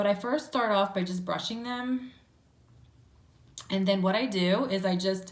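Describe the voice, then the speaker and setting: The speaker has a New Jersey accent and ordinary pitch variation, with audible room echo in the recording. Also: woman. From New Jersey, Trenton. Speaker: beauty vlogger. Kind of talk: makeup tutorial. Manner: chatty, many fillers.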